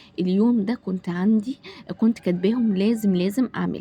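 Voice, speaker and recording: This woman's voice is somewhat breathy. Her tone is dark and mellow. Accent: Egyptian. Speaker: home vlogger, mother. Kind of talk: casual vlog talk to camera. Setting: home kitchen. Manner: hesitant, many fillers.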